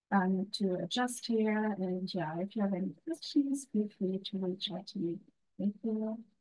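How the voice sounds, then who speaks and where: Speaking with a German accent at a fairly slow pace, a woman uses a medium pitch with ordinary pitch variation and a somewhat breathy, dark, mellow tone. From Germany. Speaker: international student advisor. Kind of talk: webinar introduction. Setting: webinar.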